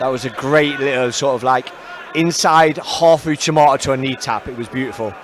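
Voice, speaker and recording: With a Nottingham accent, a man talks fairly quickly at a medium pitch with ordinary pitch variation over noticeable background noise. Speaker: MMA co-commentator and coach. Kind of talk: live commentary.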